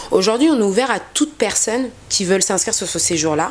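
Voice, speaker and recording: A woman talks at a moderate pace while noticeable background noise continues. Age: 20s. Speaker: travel agency founder. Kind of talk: interview.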